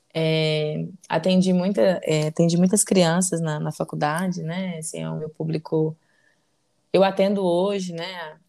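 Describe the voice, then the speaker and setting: A woman speaks with a dark, mellow tone at a fairly low pitch. Her intonation stays fairly even while her loudness swings widely. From Brazil, Belo Horizonte (Minas Gerais). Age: 20s. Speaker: psychologist, podcast co-host. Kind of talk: casual chat.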